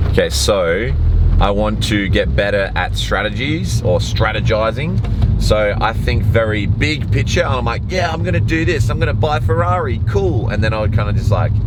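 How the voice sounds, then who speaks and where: A man speaks in an animated tone at very even loudness, with audible room echo and noticeable background noise. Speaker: vlogger and podcast host. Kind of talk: casual vlog while driving. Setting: in a car. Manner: fast.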